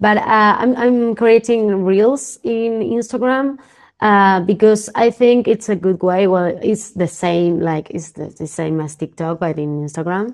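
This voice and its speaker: A woman in a Spanish accent, medium pitch, ordinary pitch variation, a fairly slow pace and hardly any pauses. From Argentina, Buenos Aires. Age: 20s. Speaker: professional poker player and content creator. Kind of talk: casual interview. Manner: halting, many repetitions.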